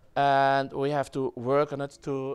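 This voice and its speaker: In a Dutch accent, a man speaks at fairly high pitch, recorded very cleanly against a silent background. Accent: Dutch accent in English, German-like. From Netherlands. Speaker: web developer presenter. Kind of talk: conference talk. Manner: halting, many fillers.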